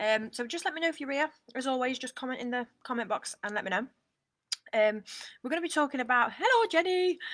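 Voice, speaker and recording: A woman with a British accent speaks at a high pitch with a bright, sharp tone. Her pitch swings very widely, and her pace is fairly quick. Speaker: online coach. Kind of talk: live stream talk. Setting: outdoors on a balcony. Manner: quiet.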